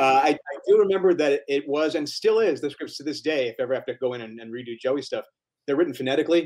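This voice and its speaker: A man with an American accent talks very fast at a fairly high pitch, with ordinary pitch variation and big swings in loudness. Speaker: voice actor. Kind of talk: panel Q&A interview.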